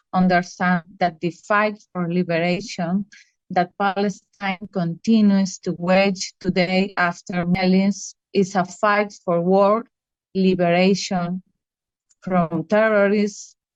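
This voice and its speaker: A woman with a non-native accent, monotone and flat, at a very slow pace in a dry, close sound with no echo. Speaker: activist. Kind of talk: prepared speech read aloud.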